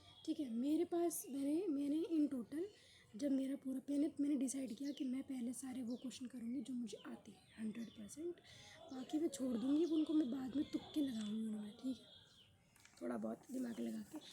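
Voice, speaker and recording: Pitched high, a woman speaks with a dark, mellow tone and ordinary pitch variation. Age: young. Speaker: student youtuber. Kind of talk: casual vlog review. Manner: animated; halting.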